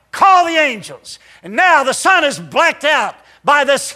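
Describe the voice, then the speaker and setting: Speaking very slowly in a raised, projected voice, a man has an extremely high pitch and a bright, sharp tone. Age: 60s. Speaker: pastor. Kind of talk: sermon. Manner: halting.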